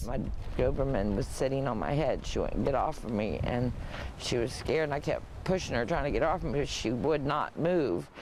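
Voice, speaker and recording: A man with a fairly high pitch talks in a plain, everyday voice at a fairly quick pace, with ordinary pitch variation and very even loudness. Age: 50s. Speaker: fire victim. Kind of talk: news interview answer. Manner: emotional.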